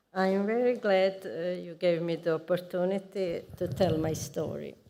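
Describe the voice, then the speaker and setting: Her fairly low pitch and dark, mellow tone carry ordinary pitch variation as a woman speaks at a very slow pace. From Croatia, Rijeka. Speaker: knitting teacher. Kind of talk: personal testimony. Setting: pre-recorded video.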